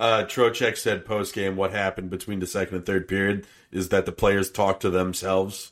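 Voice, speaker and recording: On a very clean recording with a silent background, a man talks at a fairly quick pace in a fairly low, flat monotone. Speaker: podcast co-host. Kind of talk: casual sports podcast banter.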